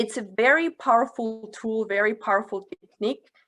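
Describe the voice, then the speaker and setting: Speaking with a Russian accent, a woman uses a fairly high pitch and a bright, sharp tone at a fairly slow pace with ordinary pitch variation. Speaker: career development facilitator. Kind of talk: webinar talk.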